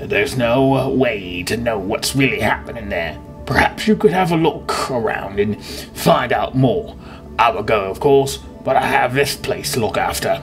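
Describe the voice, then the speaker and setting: Over clear background music, someone uses a put-on character voice at a moderate pace. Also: man, medium pitch for a man. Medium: game stream.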